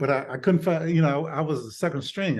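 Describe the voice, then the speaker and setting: Over a quiet background, a man with an Alabama accent talks at a moderate pace in a fairly high pitch. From Birmingham, Alabama, US South. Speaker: retired doctor and author. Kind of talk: interview. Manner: halting, many repeated words.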